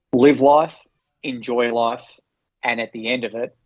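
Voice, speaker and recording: This man speaks at a medium pitch and a moderate pace. His intonation is monotone and flat. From Australia. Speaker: former Olympic marathoner and running coach. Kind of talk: interview conversation.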